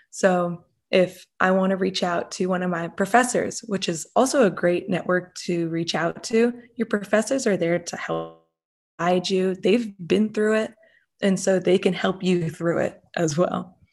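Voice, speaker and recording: A woman with an American accent talks in an ordinary speaking voice at medium pitch with ordinary pitch variation and a fairly slow pace, on a very clean recording with a silent background. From Massachusetts. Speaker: entrepreneurship student and business owner. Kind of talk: interview.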